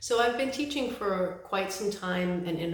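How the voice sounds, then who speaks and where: With an American accent, a woman speaks fairly quickly with ordinary pitch variation, amid audible room echo and noticeable background noise. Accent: New York accent, comes out occasionally. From New York City. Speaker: college English instructor. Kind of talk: course introduction video. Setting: self-recorded video. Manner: casual, conversational.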